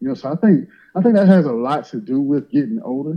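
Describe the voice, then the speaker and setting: Lively intonation and a fairly quick pace mark a plain, everyday voice. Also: man. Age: young. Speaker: caller. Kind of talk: casual chat.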